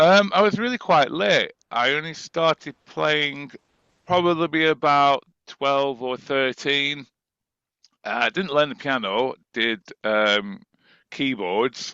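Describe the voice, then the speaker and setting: Speaking very slowly, a man with a northern English accent has a fairly high pitch. His intonation is lively. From northern England, Preston. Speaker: musician and composer. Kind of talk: interview.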